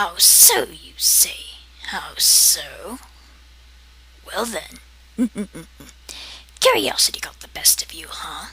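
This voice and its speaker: In a raspy, put-on character voice, the speaker goes at a very slow pace with long, frequent pauses. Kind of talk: comedic character monologue to camera. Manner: sarcastic, condescending.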